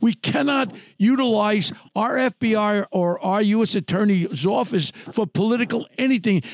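A man speaks at a fairly slow pace in a New York accent, his high voice showing ordinary pitch variation and very even loudness. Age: 70s. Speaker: podcast host, true crime. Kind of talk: casual interview chat. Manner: animated.

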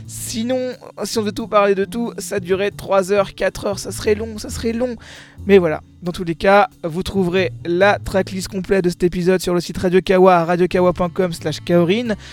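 At a moderate pace, a high-pitched man speaks with ordinary pitch variation. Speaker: music podcast host. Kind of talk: radio-style music podcast presenting. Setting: new home studio.

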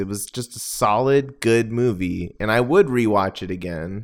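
A man speaks on a very clean recording with a completely silent background. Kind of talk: casual chat. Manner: slow talker.

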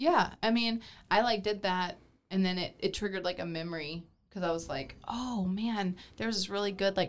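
A woman with an unremarkable speaking voice talks at medium pitch and a moderate pace. Her pitch varies in an ordinary way, in a very clean recording with a silent background. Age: 30s. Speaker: candy shop host.

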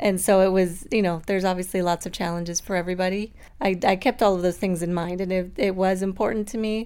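Very fast speech with hardly any pauses and monotone, flat intonation. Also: woman, medium pitch for a woman. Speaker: mother sharing breastfeeding story. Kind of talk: interview testimony.

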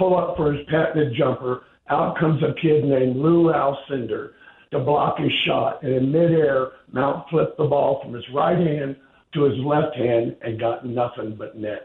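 At a moderate pace, a man talks with fairly even intonation. He has a normal speaking voice with a fairly high pitch. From Cincinnati, Ohio. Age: 40s. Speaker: caller. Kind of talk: phone-in call. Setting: phone call.

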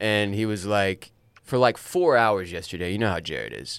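The voice is an unremarkable speaking voice that moves at a moderate pace. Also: man. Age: 30s. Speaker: podcast host. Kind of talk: casual chat.

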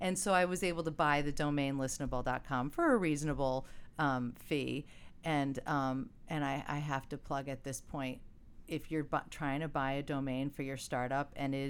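A woman speaks at a moderate pace with a very deep, low pitch. Her pitch varies in an ordinary way. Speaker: startup founder. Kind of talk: casual interview. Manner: animated, laughs often.

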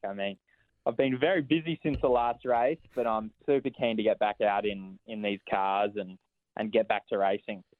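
With an Australian accent, a man talks at a moderate pace and medium pitch, his pitch varying in an ordinary way. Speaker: racing driver. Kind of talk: casual interview.

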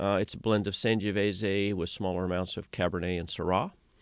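Against a quiet background, a man with an American accent speaks in a very deep, low pitch with fairly even intonation. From Oregon, Willamette Valley. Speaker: winemaker. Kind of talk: radio interview. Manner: hesitant, many filler uhs.

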